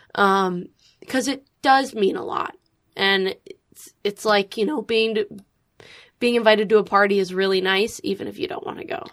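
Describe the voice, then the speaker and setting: A plain, everyday voice at a moderate pace with big swings in loudness. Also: woman, fairly high pitch for a woman, lively intonation. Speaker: social media creator and actor. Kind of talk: casual chat. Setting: studio.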